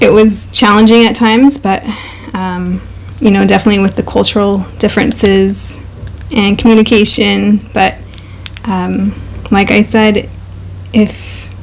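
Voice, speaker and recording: A woman with an American accent at a fairly slow pace, with long, frequent pauses and noticeable background noise. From USA. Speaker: co-host, wife. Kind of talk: casual couple chat.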